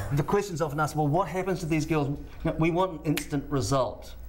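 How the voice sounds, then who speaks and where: This man's fairly high voice carries a New Zealand accent, moving at a fairly quick pace with very even loudness. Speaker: charity supporter. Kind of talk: TV interview.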